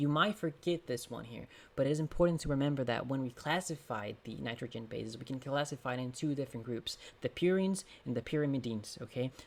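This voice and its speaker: Set against a silent background in a very clean recording, a man talks very fast. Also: medium pitch for a man, ordinary pitch variation. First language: Portuguese. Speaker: exam prep tutor. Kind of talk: tutorial; casual chat. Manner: halting.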